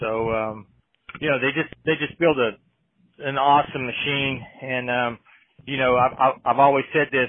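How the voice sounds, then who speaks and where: In an Appalachian accent, a man with a medium pitch speaks at a moderate pace. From West Virginia. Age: 50s. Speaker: off-road racing driver. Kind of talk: casual chat. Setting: back of a trailer in a shop.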